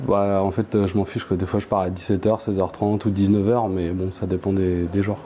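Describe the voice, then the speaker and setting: Speaking fairly quickly with hardly any pauses, a man uses a dark, mellow tone at fairly low pitch with monotone, flat intonation. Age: 30s. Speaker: trainee coach, production manager. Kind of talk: interview testimony. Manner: halting, many hesitations.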